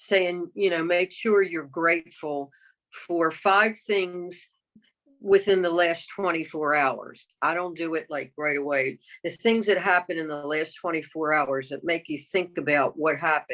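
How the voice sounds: At a fairly slow pace, a woman with a low pitch and fairly bright tone speaks with ordinary pitch variation.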